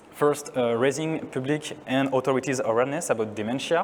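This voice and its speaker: Here a man with a French accent speaks at a medium pitch. His pace is fairly quick, with ordinary pitch variation. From France. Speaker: neuroscientist. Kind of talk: conference talk.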